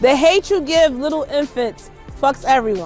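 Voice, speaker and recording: The speaker's intonation is lively, with music playing in the background. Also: woman. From Philadelphia, Point Breeze. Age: 30s. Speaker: teacher, spoken word artist, council candidate. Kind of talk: warm-up call and response with a crowd.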